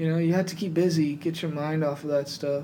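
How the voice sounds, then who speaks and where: In a room with audible echo, a man with a fairly high pitch talks at a moderate pace using fairly even intonation. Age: 20s. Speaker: gym club founder. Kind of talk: casual chat.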